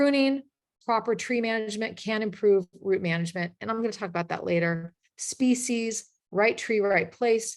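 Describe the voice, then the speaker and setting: Speaking at a moderate pace, a woman uses a fairly high pitch and ordinary pitch variation. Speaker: arborist presenter. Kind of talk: webinar presentation. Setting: video call. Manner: animated.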